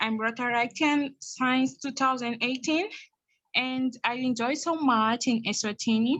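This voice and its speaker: Against a quiet background, a woman with a non-native accent and a high pitch talks at a fairly slow pace with ordinary pitch variation. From Mozambique. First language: Portuguese. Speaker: youth leadership programme participant. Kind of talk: testimony. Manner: halting.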